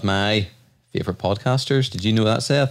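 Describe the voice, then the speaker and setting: A man with an Irish accent, medium pitch, ordinary pitch variation and a fairly quick pace. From Ireland. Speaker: podcast host. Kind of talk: casual chat.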